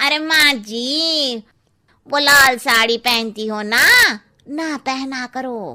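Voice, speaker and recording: Speaking very slowly, a woman puts on a cartoonish character voice pitched high, with ordinary pitch variation. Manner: blunt, gossipy.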